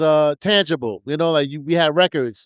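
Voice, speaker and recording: A man with a New York accent talks at a moderate pace in a fairly high voice with ordinary pitch variation. The sound is dry and close with no echo, a very clean recording against a silent background. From New York, the Bronx. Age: 50s. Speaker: hip hop DJ. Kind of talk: interview. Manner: halting.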